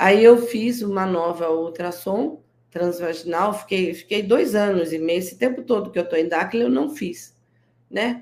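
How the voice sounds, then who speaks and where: In an unremarkable speaking voice, a woman of medium pitch talks at a fairly slow pace with lively intonation. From interior of São Paulo state, Brazil. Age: 60s. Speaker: guest entrepreneur selling natural products. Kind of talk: interview on a live stream. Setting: live stream.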